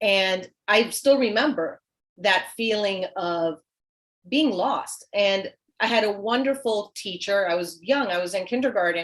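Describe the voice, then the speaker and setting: A woman speaks with a Spanish accent at medium pitch. Her pace is fairly slow, with ordinary pitch variation. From US South, small town. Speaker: children's author. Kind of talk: panel discussion.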